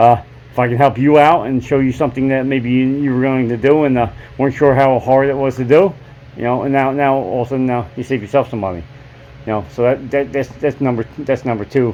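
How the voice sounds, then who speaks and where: A man at a medium pitch, very fast pace and fairly even intonation, with noticeable background noise. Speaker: DIY motorcycle mechanic YouTuber. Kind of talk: casual workshop talk to camera. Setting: open garage. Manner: halting, many fillers.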